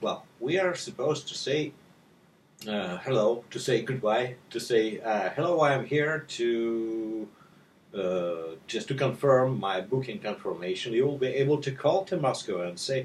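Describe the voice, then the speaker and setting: At a medium pitch, a man speaks with a Russian accent. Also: lively intonation, fairly slow pace. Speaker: language tutor. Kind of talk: sales pitch. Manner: halting.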